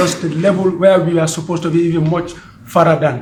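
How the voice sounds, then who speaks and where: Loud and high-pitched, a man speaks with audible room echo. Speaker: member of an organization. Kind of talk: meeting speech.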